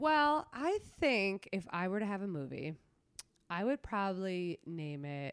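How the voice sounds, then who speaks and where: Speaking at a fairly slow pace, a woman at medium pitch makes very wide pitch swings, recorded with a dry, close sound and no echo. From New York City (Queens), Latin immigrant family. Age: 20s. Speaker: comedian. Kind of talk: casual chat. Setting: in her apartment.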